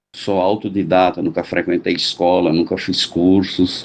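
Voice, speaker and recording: This man's voice has a dark, mellow tone. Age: 60s. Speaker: drummer. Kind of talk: storytelling.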